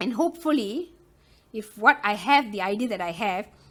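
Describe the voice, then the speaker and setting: Lively intonation from a woman with a fairly high voice, at a moderate pace. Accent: strong Malaysian. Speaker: loom knitting tutor. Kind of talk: tutorial. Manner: chatty, many fillers.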